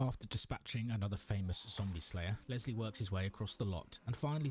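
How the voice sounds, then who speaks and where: With music in the background, a man with a British accent speaks at a fairly low pitch and a fairly quick pace, his intonation lively. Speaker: streamer playing games. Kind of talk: gameplay commentary with story narration. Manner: narrative storytelling.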